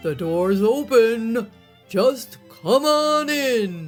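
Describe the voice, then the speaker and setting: Using a put-on character voice, a woman speaks at a fairly high pitch and a very slow pace. Faint music plays in the background. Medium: read story. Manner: sly, wheedling.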